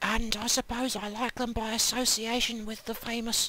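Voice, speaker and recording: Whispering at a moderate pace, a woman speaks in a deadpan tone over noticeable background noise. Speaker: online video reviewer. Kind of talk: deadpan review.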